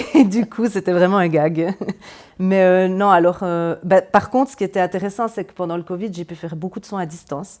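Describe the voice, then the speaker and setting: In a Swiss Jura accent, a woman speaks at a fairly quick pace with a medium pitch and ordinary pitch variation. Her loudness swings a lot. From Swiss Jura (Moutier). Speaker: energy therapist and medium. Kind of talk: interview. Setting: in-person interview. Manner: hesitant, many fillers.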